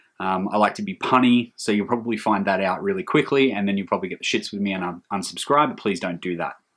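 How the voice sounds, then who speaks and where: The speaker has an Australian accent and talks at a very fast pace. The pitch variation is ordinary. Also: man. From Australia, Hunter region of New South Wales. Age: 30s. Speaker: metal music vlogger. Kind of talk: casual vlog monologue. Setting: hot room at home. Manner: hesitant, many filler ums.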